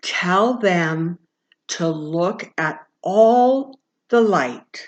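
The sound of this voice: A woman in a loud, booming put-on character voice at a medium pitch and very slow pace.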